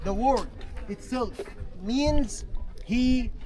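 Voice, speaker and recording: Noticeable background noise behind very slow speech. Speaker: tour guide. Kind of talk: guided tour talk.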